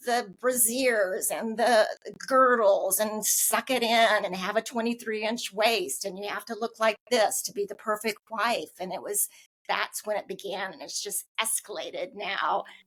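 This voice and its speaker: A woman in a normal speaking voice talks at a fairly slow pace, with fairly high pitch and fairly even intonation. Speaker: podcast host. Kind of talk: podcast interview host.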